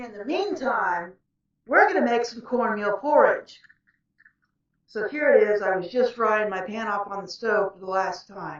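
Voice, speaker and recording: A woman shouting at a fairly slow pace, with a fairly high pitch, ordinary pitch variation and big swings in loudness. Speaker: author and vlogger. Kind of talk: casual cooking vlog. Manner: loud, near-yelling to be heard.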